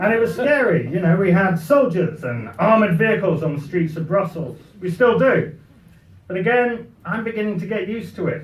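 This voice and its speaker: Audible room echo surrounds a man with a British accent. His pitch is high. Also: lively intonation, fairly quick pace. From Britain. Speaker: comic speaker. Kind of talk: after-dinner humorous speech. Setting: party with audience.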